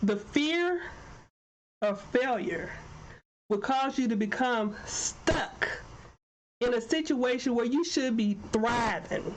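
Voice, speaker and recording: Very slow and marked by long, frequent pauses, a woman's high voice carries lively intonation at very even loudness, with audible room echo. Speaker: talk show host and life coach. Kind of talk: motivational podcast talk. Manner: animated.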